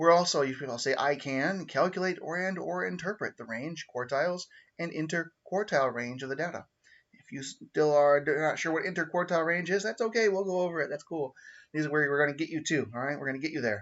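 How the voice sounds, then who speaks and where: A man with a fairly high pitch, ordinary pitch variation and a very fast pace. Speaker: math teacher. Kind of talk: recorded lesson livestream. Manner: casual, halting with fillers.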